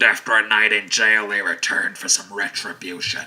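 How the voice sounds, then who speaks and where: A man uses a raspy, put-on character voice, fairly low in pitch, delivered at a fairly quick pace in a flat monotone. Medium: audio drama. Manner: brooding, low, menacing.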